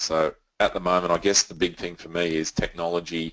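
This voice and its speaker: In an Australian accent, a man speaks with a very deep, low pitch and monotone, flat intonation, the sound dry and close with no echo. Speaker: software company representative. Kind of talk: webinar presentation. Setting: online webinar. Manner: fast.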